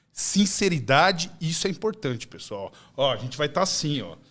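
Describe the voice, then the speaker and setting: An animated man speaks with vocal fry and very wide pitch swings. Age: 40s. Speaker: gym owner; podcast guest. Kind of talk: podcast chat. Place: studio. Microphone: studio mic.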